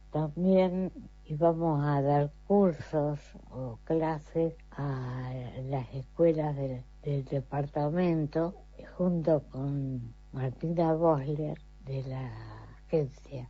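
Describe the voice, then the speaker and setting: A woman speaks very slowly in a very deep, low pitch with fairly even intonation. Music plays in the background. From Argentina, Entre Ríos (Concepción del Uruguay). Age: 70s. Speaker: retired court employee and garden volunteer. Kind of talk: recorded testimony.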